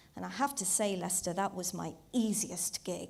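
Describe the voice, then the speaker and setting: A woman speaks with vocal fry. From Zambia, Indian heritage. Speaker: comedian. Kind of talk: stand-up. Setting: stage with audience.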